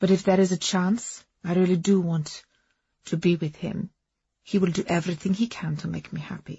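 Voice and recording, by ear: In a put-on character voice, a woman speaks at a moderate pace with fairly low pitch, a dark, mellow tone, a husky, rough edge, vocal fry and fairly even intonation.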